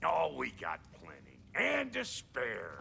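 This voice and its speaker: A man does a raspy, put-on character voice at a very slow pace. Background noise is clearly audible. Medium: video game. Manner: gruff, brash, streetwise.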